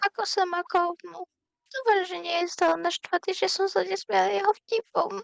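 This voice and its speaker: A woman does a put-on character voice at an extremely high pitch, recorded with a dry, close sound and no echo. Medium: fan dub. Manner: soft-spoken, meek.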